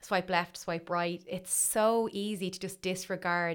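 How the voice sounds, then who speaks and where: In a very clean recording with a silent background, a woman with a Dublin accent speaks at a fairly low pitch with fairly even intonation. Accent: Dublin Irish. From Dublin, Ireland. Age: 30s. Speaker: writer and blogger. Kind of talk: casual interview chat.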